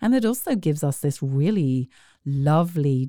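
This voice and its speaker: Recorded very cleanly and dry, close with no echo and a silent background, a woman with a British accent speaks fairly slowly in a very deep, low pitch and dark, mellow tone, with lively intonation. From United Kingdom. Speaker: arts organization executive. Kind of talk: casual interview.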